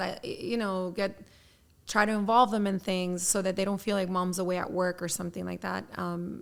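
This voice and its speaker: In a very clean recording with a silent background, a woman speaks at a fairly quick pace in a bright, sharp tone. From Miami, Florida. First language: Spanish. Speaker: personal injury attorney. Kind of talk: podcast interview.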